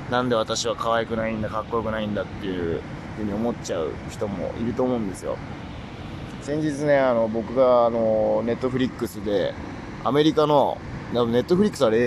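A man with a medium pitch talks fairly quickly, using ordinary pitch variation while noticeable background noise runs behind him. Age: 20s. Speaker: solo voice-streaming podcaster. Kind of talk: casual monologue. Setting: outdoors, lying by a river. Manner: relaxed, casual with fillers.

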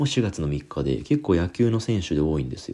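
In a dark, mellow tone, a man talks at a moderate pace with very wide pitch swings. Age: 30s. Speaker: podcast host. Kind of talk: solo casual talk.

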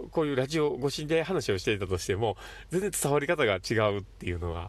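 The speaker is a man at a fairly quick pace. The recording is very clean, with a silent background. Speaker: psychiatric visiting nurse, podcast host. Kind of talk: solo monologue podcast. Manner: fast; animated.

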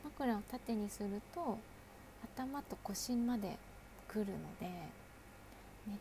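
Noticeable background noise accompanies a woman's relaxed tone. Her medium-pitched voice has fairly even intonation. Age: 40s. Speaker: solo podcaster, mother. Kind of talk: casual solo talk. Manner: relaxed, chatty with fillers.

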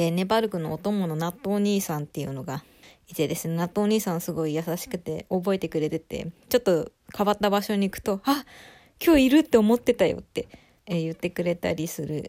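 On a very clean recording with a silent background, a woman talks at a fairly quick pace. Her fairly low voice has a dark, mellow tone and lively intonation. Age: 20s. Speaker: solo podcaster. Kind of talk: casual solo talk. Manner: stumbling over words.

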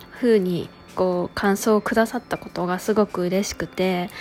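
A woman's calm, relaxed voice at a moderate pace, with fairly even intonation and noticeable background noise. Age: 30s. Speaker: podcast host. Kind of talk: solo podcast monologue. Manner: relaxed, easygoing.

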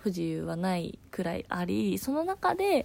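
A woman talks at a moderate pace in a dark, mellow tone on a very clean recording with a silent background. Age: 20s. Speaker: podcast host, office worker. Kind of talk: casual solo talk.

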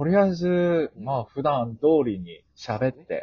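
A somewhat breathy man speaks very slowly, his pitch swinging very widely. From Fukuoka, Japan. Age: 20s. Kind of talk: casual chat.

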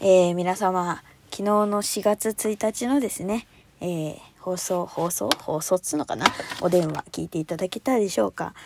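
Dry, close, echo-free recording of a woman at a moderate pace with ordinary pitch variation. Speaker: solo podcast host. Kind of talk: casual solo monologue. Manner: high-energy, animated; frequent laughter.

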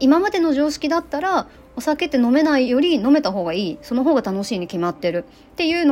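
Over noticeable background noise, a woman speaks at a very fast pace. Her high voice makes very wide pitch swings. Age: 30s. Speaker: activist and podcaster. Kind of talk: casual monologue. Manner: rambling, casual.

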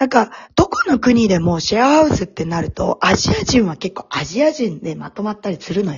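The speech comes at a fairly quick pace with hardly any pauses, carrying an animated tone, very wide pitch swings and big swings in loudness. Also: woman. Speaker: podcast co-host. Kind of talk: casual chat.

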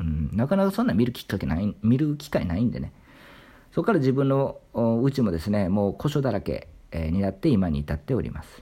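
A man talks fairly quickly in a fairly low, somewhat breathy voice with a dark, mellow tone. His pitch swings very widely and his loudness varies a lot, on a very clean recording with a silent background. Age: 30s. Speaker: literature YouTuber. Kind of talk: solo monologue talk.

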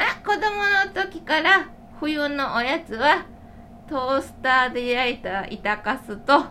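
Over noticeable background noise, a woman speaks very slowly in a raised, projected voice with high pitch and very wide pitch swings. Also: big swings in loudness. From Shiga, Japan. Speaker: podcast host and food writer. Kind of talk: casual chat. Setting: recorded in a shop.

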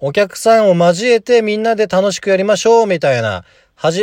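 In a dry, close recording with no echo and a quiet background, a man talks at a fairly quick pace in an animated tone, his pitch high. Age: 20s. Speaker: golf teaching pro and podcaster. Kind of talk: solo casual talk.

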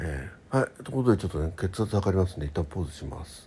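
A man speaks at a very fast pace in a dark, mellow tone. His low pitch carries lively intonation.

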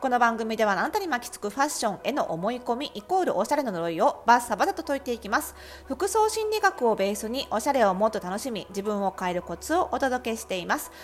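A high-pitched woman at a very fast pace, with very wide pitch swings, big swings in loudness and hardly any pauses. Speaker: personal stylist and psychologist podcast host. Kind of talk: solo podcast talk. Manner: casual, filler-heavy.

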